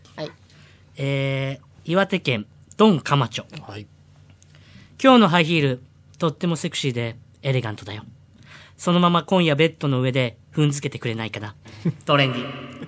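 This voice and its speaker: A man's fairly high voice at a moderate pace, with lively intonation, big swings in loudness and long, frequent pauses, on a very clean recording with a silent background. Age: 40s. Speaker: comedian impersonator. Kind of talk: reading listener submissions aloud. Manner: animated.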